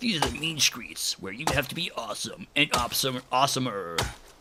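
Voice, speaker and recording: Putting on a character voice, a man talks at a fairly quick pace in a fairly high pitch, his pitch swinging very widely and his loudness rising and falling sharply. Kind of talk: dramatic announcer delivery.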